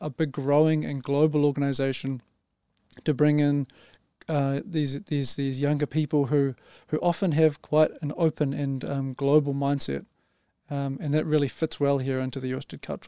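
A man's fairly high, dark and mellow voice with a New Zealand accent, flat monotone intonation, and a moderate pace, dry and close with no echo on a very clean recording over a silent background. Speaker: engineering team leader. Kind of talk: podcast interview.

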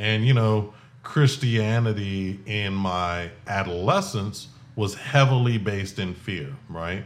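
There is audible room echo as the man delivers his words very slowly. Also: fairly low pitch for a man, ordinary pitch variation. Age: 40s. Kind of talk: personal testimony monologue. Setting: home garage recording setup.

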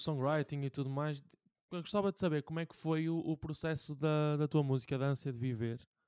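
A man speaks with a European Portuguese accent. His tone is dark and mellow. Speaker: podcast host. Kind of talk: casual chat.

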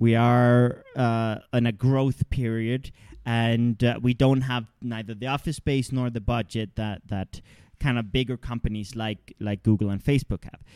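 In an unremarkable speaking voice, a man talks at medium pitch with fairly even intonation, recorded very cleanly against a silent background with a dry, close sound and no echo. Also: fairly slow pace. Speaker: podcast host and co-founder of personal development business. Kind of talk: casual conversational discussion. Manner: frequent filler words.

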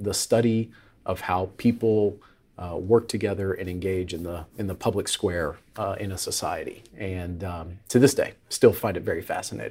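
A man's fairly low, somewhat breathy voice with an American accent, moderate pace, fairly even intonation and big swings in loudness, on a very clean recording with a silent background. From Tennessee and Florida. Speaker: political strategist. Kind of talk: roundtable discussion.

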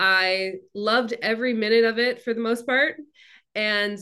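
With a fairly high pitch and a fairly slow pace, a woman speaks in a clear, smooth tone that is also bright and sharp, keeping her intonation fairly even.

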